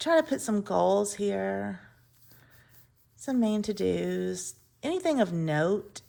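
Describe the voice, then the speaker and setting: In an Alabama accent, a woman speaks at a very slow pace with long, frequent pauses. The recording is very clean, with a silent background. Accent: Southern US (Alabama). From US South, Mobile, Alabama. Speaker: planner and journaling vlogger. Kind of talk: casual chat.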